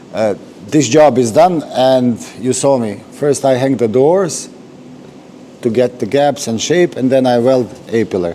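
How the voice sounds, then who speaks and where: A man with a non-native accent speaks at medium pitch and a fairly slow pace, with ordinary pitch variation. Long, frequent pauses break his speech over noticeable background noise. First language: not English. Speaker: car restorer. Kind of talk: workshop tutorial. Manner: halting.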